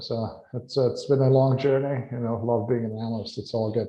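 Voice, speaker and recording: In a Hungarian accent, a man with a medium pitch speaks somewhat breathily, his intonation fairly even. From Hungary, Budapest. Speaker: industry analyst. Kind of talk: panel interview.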